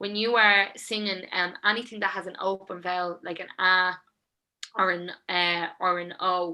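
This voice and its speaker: A woman's medium-pitched voice with a bright, sharp tone. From Dublin, north inner city (Sheriff Street). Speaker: singer, songwriter and producer. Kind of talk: interview. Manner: animated, chatty with many fillers.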